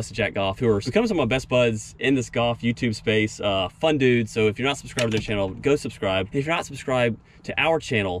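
A man speaks at a very fast pace with ordinary pitch variation. The sound is dry with no echo, and there is light background noise. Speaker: golf youtuber. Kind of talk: casual vlog chat. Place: open country. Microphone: camera far.

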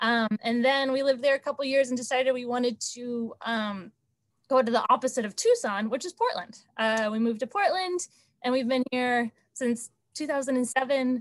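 In an American accent, a woman speaks at a moderate pace with a high pitch and ordinary pitch variation. The sound is dry with no echo against a quiet background. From Texas (Dallas area); Texas. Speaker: state transportation program manager. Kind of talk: online committee meeting. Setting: video call. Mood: friendly, animated. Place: home room. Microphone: video call.

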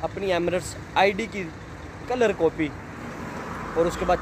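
A man's high-pitched voice at a slow pace, over clear background noise.

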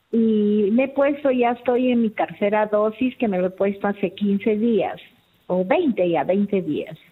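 A woman talks at a fairly slow pace. Her pitch is fairly high. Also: ordinary pitch variation, very even loudness. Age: 60s. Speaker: caller. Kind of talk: call-in question. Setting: phone call.

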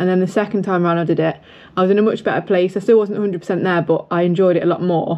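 A woman speaks very fast at a fairly low pitch. Her intonation is monotone and flat. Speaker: running vlogger. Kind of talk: casual vlog chat. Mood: reflective, candid. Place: home room. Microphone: phone near.

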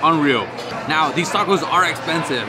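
Loud noise fills the background. A man talks at a fairly quick pace. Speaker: food vlogger. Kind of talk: casual vlog chat. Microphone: phone near.

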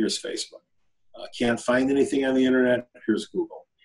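A man with an American accent at a very fast pace, against a quiet background. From upstate New York (Buffalo); New York. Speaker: blockchain investor and CEO; interviewee. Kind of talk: interview. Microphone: video call.

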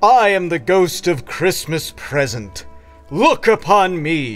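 Faint music plays as a man with a high pitch puts on a character voice and talks at a fairly slow pace.

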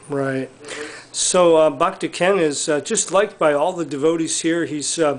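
The speaker is a man with a normal speaking voice and a fairly high pitch. He keeps a moderate pace and fairly even intonation. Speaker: interviewer for a devotee community video series. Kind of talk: casual interview questions to camera. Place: home room. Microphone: camera far.

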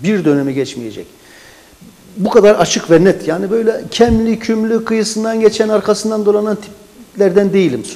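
A man with a high voice talks at a moderate pace, his pitch varying in an ordinary way. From Adıyaman, Turkey; Turkey. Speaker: local party chairman, writer and forestry engineer; talk show guest. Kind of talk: interview. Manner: formal. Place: studio. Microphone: lapel.

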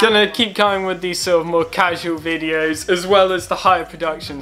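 A man speaks at a fairly quick pace as faint music plays in the background. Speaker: club runner vlogger. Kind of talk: casual vlog chat. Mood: relaxed, calm. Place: home room. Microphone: webcam.

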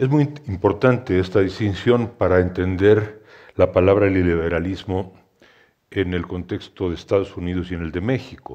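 A man with a Mexican accent speaks in a very deep, low voice with a dark, mellow tone against a quiet background. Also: ordinary pitch variation, fairly quick pace. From Mexico City. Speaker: historian and essayist, moderator; moderator. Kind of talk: panel discussion. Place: hall. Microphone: headset.

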